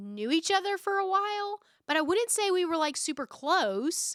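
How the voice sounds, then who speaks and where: Loud and bright, with a sharp tone and very wide pitch swings, a woman speaks in a Southern US accent on a very clean recording with a silent background. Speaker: podcast host. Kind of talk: casual chat.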